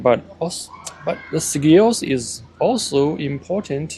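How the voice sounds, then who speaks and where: Over noticeable background noise, a man speaks with a Chinese accent. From China. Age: 40s. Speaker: vlogger. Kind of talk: casual vlog monologue. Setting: outdoors by parked cars. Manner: halting, many fillers.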